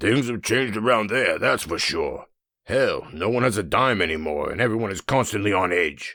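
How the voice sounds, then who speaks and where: On a very clean recording with a silent background, a man puts on a raspy character voice at a medium pitch. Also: moderate pace. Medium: read story. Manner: casual, friendly.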